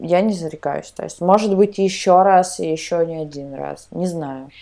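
In a dark, mellow tone, a woman speaks at a fairly low pitch and a fairly slow pace with fairly even intonation. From Tyumen region, western Siberia, Russia. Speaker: podcast co-host. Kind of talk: casual chat.

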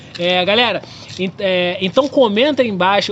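Over noticeable background noise, a man speaks at a moderate pace. His voice is high in pitch. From Rio de Janeiro, West Zone. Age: 20s. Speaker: podcast host. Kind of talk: casual chat.

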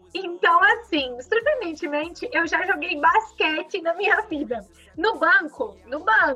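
Projecting her raised voice at an extremely high pitch, a woman speaks at a fairly slow pace with lively intonation. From southern Brazil, Rio Grande do Sul (Farroupilha). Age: 20s. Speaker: entrepreneur and social media influencer. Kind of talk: casual interview.

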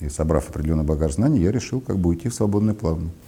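A man's very deep, low voice with a dark, mellow tone and ordinary pitch variation. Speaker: former dairy procurement director. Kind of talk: interview.

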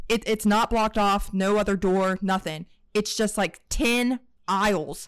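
A woman at a medium pitch and fairly slow pace, with very even loudness and fairly even intonation, in a very clean recording with a silent background. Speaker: podcast co-host. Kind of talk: casual chat.

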